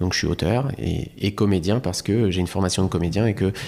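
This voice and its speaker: With ordinary pitch variation, the speaker keeps a moderate pace. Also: man. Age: 30s. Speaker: comedian. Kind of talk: casual chat. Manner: halting.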